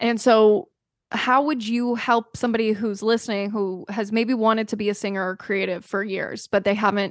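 An unremarkable speaking voice at a moderate pace, with fairly even intonation over a quiet background. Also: woman. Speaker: podcast host. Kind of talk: casual interview chat.

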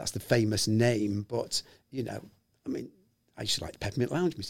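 Here a man talks at a very fast pace in a medium-pitched voice. His intonation is lively and his voice somewhat breathy. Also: big swings in loudness. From Liverpool, England. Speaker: musician and songwriter. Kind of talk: interview, recounting stories. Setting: studio.

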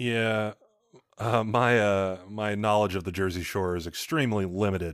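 With fairly even intonation and a fairly low pitch, a man talks at a moderate pace in a normal speaking voice. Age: 20s. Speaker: podcast co-host. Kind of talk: casual chat.

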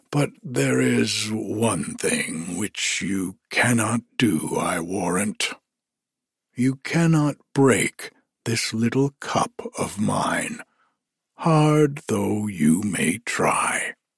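A man's put-on character voice, medium in pitch and delivered at a very slow pace. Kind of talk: bedtime storybook reading. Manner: gruff, boastful, patronizing.

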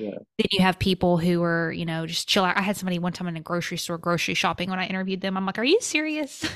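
A woman with an American accent talks at a very fast pace, with hardly any pauses. Her pitch is medium and varies an ordinary amount. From Arkansas, US South. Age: 30s. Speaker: podcast host, former therapist. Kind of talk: interview conversation. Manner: animated.

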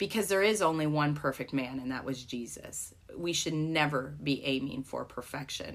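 At a moderate pace and with hardly any pauses, a woman speaks in a very deep, low pitch with ordinary pitch variation. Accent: American. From United States. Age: 40s. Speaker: church planter and college ministry worker. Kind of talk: faith interview.

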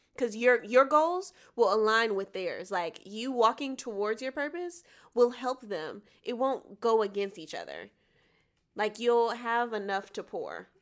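A woman with an American accent and a normal speaking voice talks at a fairly slow pace and fairly high pitch, her intonation lively and her loudness swinging widely, on a very clean recording with a silent background. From US South, Atlanta, Georgia. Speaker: singer and actress. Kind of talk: casual interview chat.

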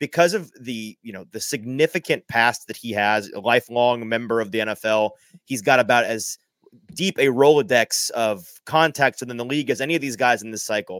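Man with a normal speaking voice at medium pitch, ordinary pitch variation, a fairly quick pace, big swings in loudness and a dry, close sound with no echo. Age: young. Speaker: sports podcaster. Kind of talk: casual live sports talk.

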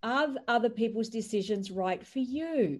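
Lively intonation in an Australian accent at a fairly slow pace. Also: woman. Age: 50s. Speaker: entrepreneur and author. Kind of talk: podcast interview. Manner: animated.

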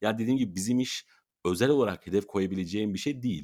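Talking very fast, a man uses a fairly low voice with lively intonation. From Turkey, Mersin. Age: 20s. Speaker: sports announcer and event presenter. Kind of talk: interview.

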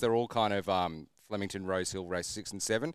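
The very clean recording with a silent background captures a man speaking with an Australian accent. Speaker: sports betting podcast co-host. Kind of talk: casual banter.

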